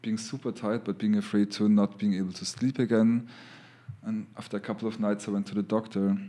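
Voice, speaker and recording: A man with a German accent talks at a fairly quick pace with fairly even intonation. His voice is fairly low, with a dark, mellow tone. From Lower Austria. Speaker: abstract artist. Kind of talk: casual chat.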